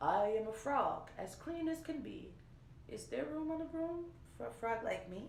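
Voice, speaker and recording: A woman does a put-on character voice that sounds croaky. Her pace is moderate and there is slight echo. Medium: read story.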